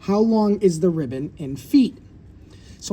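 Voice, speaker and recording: This man has a dark, mellow tone. His pitch moves through very wide swings. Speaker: fifth grade math teacher. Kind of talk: tutorial. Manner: fast; casual, conversational.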